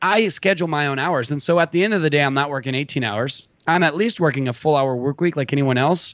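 A man with a fairly high pitch speaks very fast, using ordinary pitch variation. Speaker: entrepreneur and investor. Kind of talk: interview. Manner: casual, unpolished.

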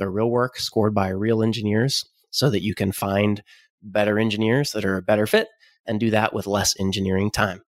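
Speaking with an American accent, this man has a fairly low pitch. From Oklahoma. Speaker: startup founder and software engineer. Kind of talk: casual interview chat.

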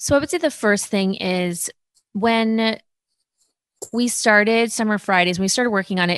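A woman with a normal speaking voice, fairly even intonation, and a moderate pace, in a dry, close sound with no echo. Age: 30s. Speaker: influencer and beauty brand founder. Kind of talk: interview.

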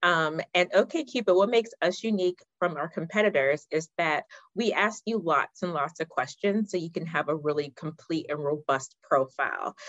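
A woman speaks at a fairly low pitch and a moderate pace. Her intonation is lively. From US, Pittsburgh (born in Ghana). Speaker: marketing director at a dating app. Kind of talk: casual interview chat. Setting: remote call.

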